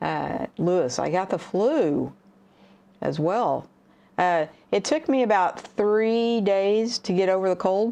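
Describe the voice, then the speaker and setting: With a dark, mellow tone and a medium pitch, a woman speaks at a fairly slow pace using lively intonation. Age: 60s. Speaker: livestream host, camera hobbyist. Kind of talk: casual livestream chat. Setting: livestream, sitting at home. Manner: halting, many fillers.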